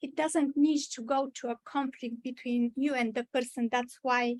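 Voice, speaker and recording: A woman's high voice in a strong Bulgarian accent, fairly slow and fairly even in intonation, with a dry, close sound and no echo. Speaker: mental health trainer. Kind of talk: training presentation. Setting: church meeting room with video call. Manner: hesitant, many fillers.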